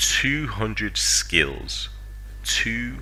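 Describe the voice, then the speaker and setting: Audible room echo surrounds a man speaking at a very slow pace with a very deep, low pitch. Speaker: gaming youtuber. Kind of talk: casual commentary. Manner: hesitant, filler-heavy.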